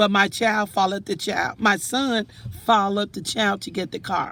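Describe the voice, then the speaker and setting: Vocal fry marks this woman's voice, which sits at a medium pitch. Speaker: vlogger. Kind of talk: casual monologue. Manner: halting.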